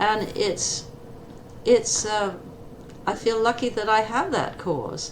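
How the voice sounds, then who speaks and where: A woman with an American accent, medium pitch, very slow pace, and noticeable background noise. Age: 80s+. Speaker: retired eye surgeon. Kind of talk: interview.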